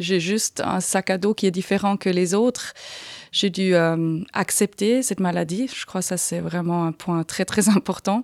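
In a dry, close sound with no echo, a woman with a slight Swiss German accent talks at a fairly slow pace, her medium pitch held in fairly even intonation. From Aargau, Switzerland. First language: Swiss German (speaking French). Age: 40s. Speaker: patient with arthritis. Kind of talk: interview. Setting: studio. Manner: halting.

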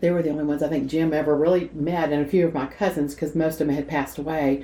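A woman with a Southern US accent, very deep and low in pitch, dark and mellow in tone, monotone and flat, at a very fast pace. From Nashville, Tennessee. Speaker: retired gift shop owner. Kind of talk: casual interview.

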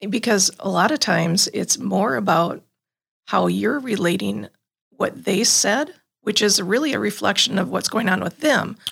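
A woman at a moderate pace, her loudness very even throughout. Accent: Wisconsin. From Green Bay, Wisconsin. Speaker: program facilitator and home herbalist. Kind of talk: casual faith-based conversation. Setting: studio.

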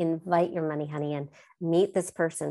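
A woman's normal speaking voice, fairly low in pitch, at a moderate pace against a quiet background. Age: 50s. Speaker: life coach and author. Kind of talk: interview.

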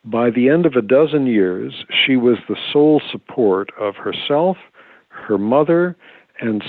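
Speaking at a fairly slow pace with lively intonation, a man has an ordinary speaking voice. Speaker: historian and author. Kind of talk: interview.

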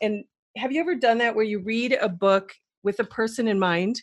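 A woman talks at a fairly quick pace with an American accent and ordinary pitch variation. She has an unremarkable speaking voice, and the background is quiet. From Wisconsin, US Midwest. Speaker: entrepreneur and former model. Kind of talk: interview.

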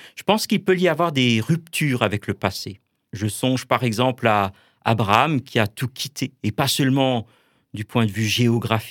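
A man of medium pitch speaks with ordinary pitch variation in a dry, close sound with no echo, recorded very cleanly over a silent background. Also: moderate pace. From Alsace, France. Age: 50s. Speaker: Protestant pastor. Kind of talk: radio interview; sermon. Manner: halting.

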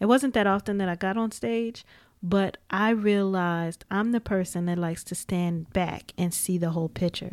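The recording is very clean with a silent background, carrying a woman at a medium pitch and moderate pace. She has an ordinary speaking voice with ordinary pitch variation. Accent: American. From US Midwest, Gary, Indiana. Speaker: podcast host. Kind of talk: casual chat. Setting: studio.

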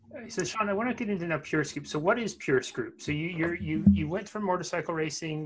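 Music plays behind a man talking at a fairly quick pace. His intonation is lively. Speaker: podcast host. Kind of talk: interview, casual conversational. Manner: warm, enthusiastic.

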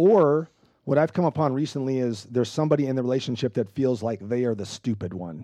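A man with a medium pitch and a dark, mellow tone talks very fast with lively intonation over a quiet background. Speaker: podcast host. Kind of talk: casual conversation about counseling.

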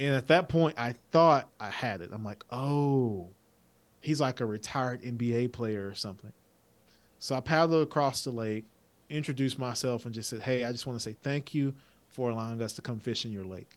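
A man speaks in an ordinary speaking voice at a moderate pace. His pitch is medium with ordinary variation, and his loudness has big swings. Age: 20s. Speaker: business consultant and former college football player. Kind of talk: casual interview.

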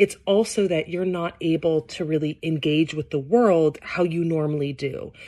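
A woman's fairly low-pitched, dark, mellow voice at a moderate pace, with ordinary pitch variation and hardly any pauses. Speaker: podcast host. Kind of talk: personal diary monologue. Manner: halting, many fillers.

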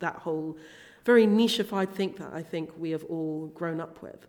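In a southern English accent, a woman speaks. Her pitch is fairly low. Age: 20s. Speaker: body acceptance coach and plus size model. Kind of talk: interview.

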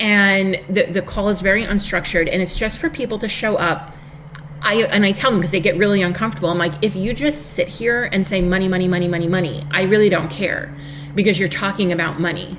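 With music in the background, a woman in a New York accent talks at a very fast pace, her medium pitch varying in an ordinary way. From US, Long Island, New York. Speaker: business coach. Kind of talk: interview.

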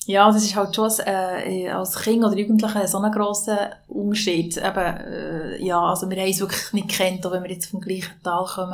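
In a room with audible echo, a woman at a medium pitch talks at a moderate pace in a monotone, flat intonation. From Swiss mountain valley (Valais). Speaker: podcast host and label founder. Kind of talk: casual conversation.

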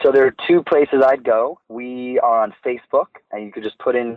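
A man with an American accent, a normal speaking voice, fairly even intonation and a moderate pace. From New York City, Manhattan. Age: 30s. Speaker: film producer. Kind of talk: interview.

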